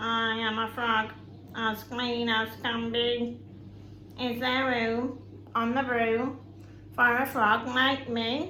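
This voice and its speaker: In a put-on character voice, a female-sounding speaker croaks at a fairly high pitch and a very slow pace, with long, frequent pauses and clear background noise. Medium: read story.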